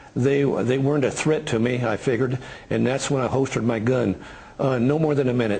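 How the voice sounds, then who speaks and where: Speaking at a fairly quick pace, a man with a medium-pitched voice keeps his intonation fairly even and his loudness very even over noticeable background noise. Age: 60s. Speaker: rancher. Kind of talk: interview. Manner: halting.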